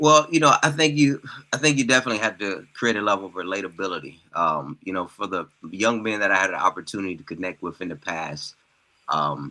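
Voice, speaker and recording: Bright and sharp in tone, a man talks at a very fast pace, his fairly low pitch swinging very widely. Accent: American. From Mississippi, US South. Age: young. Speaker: healthcare professional and author. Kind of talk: interview podcast.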